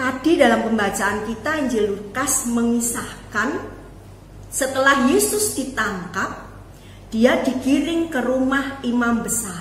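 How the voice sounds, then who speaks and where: A woman speaks at a very slow pace with a high pitch. Noticeable background noise and audible room echo fill the recording. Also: ordinary pitch variation. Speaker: preacher and teacher. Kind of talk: sermon. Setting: online family worship video.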